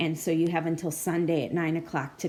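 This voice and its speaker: A woman talks at a moderate pace with a fairly low pitch. Her tone is dark and mellow, and there is audible room echo. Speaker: librarian instructor. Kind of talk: lecture. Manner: informal.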